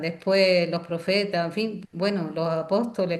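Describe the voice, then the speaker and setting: An ordinary speaking voice from a woman, medium in pitch and fairly slow in pace. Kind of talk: lecture.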